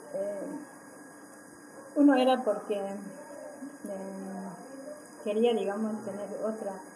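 A woman at a very slow pace and fairly high pitch, ordinary pitch variation, long, frequent pauses and noticeable background noise. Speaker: community organizer in a social movement; interviewee. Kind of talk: interview answer. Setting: recorded interview. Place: home room. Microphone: camera far.

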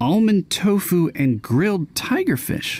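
A man puts on a character voice, high-pitched and slightly mellow in tone. He talks at a fairly slow pace with big pitch swings.

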